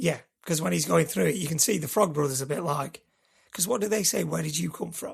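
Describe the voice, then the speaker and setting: A man talks at a fairly quick pace with lively intonation. His fairly high voice carries vocal fry. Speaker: film podcast co-host. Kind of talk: casual chat.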